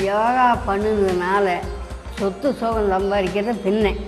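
Clear music sits in the background behind a woman speaking at a medium pitch. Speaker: yoga teacher. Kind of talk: interview answer. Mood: calm, reminiscing. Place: home room.

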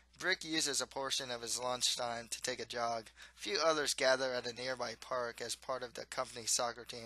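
The reading voice is unforced, and the intonation stays fairly even.

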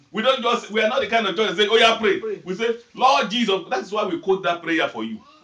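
Over noticeable background noise, a man talks at a very fast pace in a high, raised, projected voice with ordinary pitch variation. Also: hardly any pauses. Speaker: preacher. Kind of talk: fervent congregational prayer and preaching, leading call-and-response with the audience. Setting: church with a live congregation. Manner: fervent, commanding, emphatic, repeating 'Amen' and exhorting the crowd; animated, directive, urging people to stand, sit and pray seriously.

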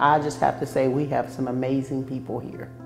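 Over faint background music, a woman with a very deep, low pitch speaks at a fairly quick pace. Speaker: prison warden. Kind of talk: interview answer. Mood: warm, praising colleagues. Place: office.

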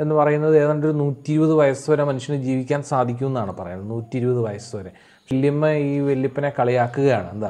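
Dark, mellow male voice, its pitch moving in an ordinary way. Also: medium pitch for a man. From Kerala, India. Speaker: English tutor for school students; teacher. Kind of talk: lecture. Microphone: webcam.

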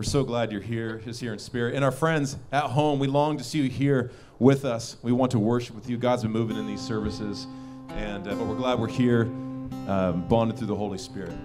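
Clear music sounds in the background. A man speaks fairly quickly with ordinary pitch variation. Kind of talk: welcome address to a congregation. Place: stage. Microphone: handheld.

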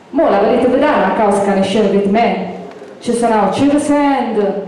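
A woman's voice holds a very even loudness. Strong room echo surrounds it. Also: fairly high pitch for a woman, ordinary pitch variation, moderate pace. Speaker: dialect poet. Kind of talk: poetry reading. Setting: outdoors, live event. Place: hall.

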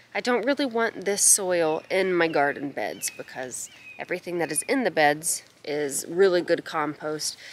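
Using a normal speaking voice, a woman talks at a moderate pace with lively intonation and a fairly low pitch, in a dry sound with no echo and light background noise. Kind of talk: casual vlog chat. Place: garden. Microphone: phone near.

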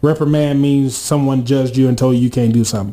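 Talking at a very fast pace, a man has a dark, mellow tone. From Georgia, US South (Atlanta area); Georgia. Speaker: college radio co-host. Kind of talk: casual radio talk show chat.

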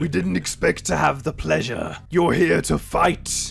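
Using a put-on character voice, a man speaks at a fairly slow pace with a resonant sound over clear background noise. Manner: booming, boastful.

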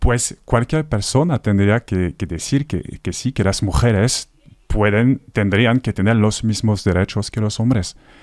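A man speaks at a fairly slow pace in a French accent, his pitch fairly low with ordinary variation. The sound is dry with no echo, and the background is quiet. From northern France. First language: French (speaking Spanish). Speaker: actor; actor, radio guest. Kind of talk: radio interview. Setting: radio studio. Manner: halting. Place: studio. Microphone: studio mic.

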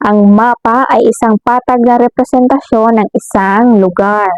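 The speaker talks fairly slowly with ordinary pitch variation, in a dry, close sound without echo. Music plays in the background. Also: woman. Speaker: elementary school teacher. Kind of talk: lesson for children.

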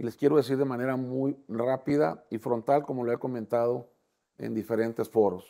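Over a quiet background, a man speaks at a fairly slow pace in a dark, mellow tone with ordinary pitch variation. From Mexico, Tamaulipas (Ciudad Victoria); Tamaulipas, Mexico. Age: 60s. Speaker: political candidate; candidate. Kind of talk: interview. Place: studio. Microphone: lapel.

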